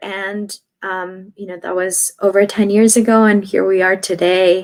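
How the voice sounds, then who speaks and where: A woman speaks in a Spanish accent at a medium pitch. Her pace is fairly slow. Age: 30s. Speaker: radio journalist. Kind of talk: interview. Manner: hesitant, many fillers.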